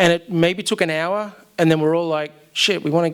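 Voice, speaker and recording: With an Australian accent, this man talks in a fairly high pitch. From Australia, Melbourne. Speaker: storyteller. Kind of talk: live storytelling. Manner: casual, with many fillers.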